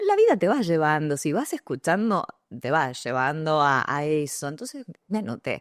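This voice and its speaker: In a Rioplatense accent, a woman speaks with a very deep, low pitch and lively intonation at a moderate pace. The sound is dry and close with no echo, over a quiet background. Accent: Argentine Rioplatense Spanish. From Argentina, San Pedro, Buenos Aires province. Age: 40s. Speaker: journalist, radio announcer and communication coach. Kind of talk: podcast interview.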